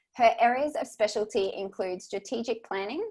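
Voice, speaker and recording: A woman talks at a moderate pace. She speaks with an Australian accent. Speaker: podcast host. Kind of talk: podcast interview.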